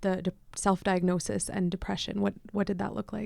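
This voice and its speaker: A woman's dark, mellow voice at a medium pitch and moderate pace. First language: Punjabi. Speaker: podcast host. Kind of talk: podcast interview.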